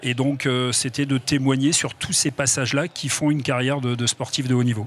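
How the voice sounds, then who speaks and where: Noticeable background noise sits behind a man at medium pitch who talks at a fairly quick pace in a monotone, flat intonation. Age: 60s. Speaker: retired footballer, author. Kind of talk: TV interview. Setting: TV studio at an event.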